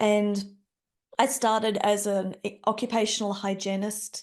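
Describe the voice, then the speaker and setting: A woman in an Australian accent has a dark, mellow tone and fairly even intonation against a quiet background. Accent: Australian, moderate. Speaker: health and safety leader. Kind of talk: interview.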